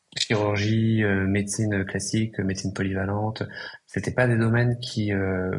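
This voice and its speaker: This man has a fairly low-pitched voice. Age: 20s. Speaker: psychiatrist and entrepreneur. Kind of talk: podcast interview. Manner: hesitant, many fillers.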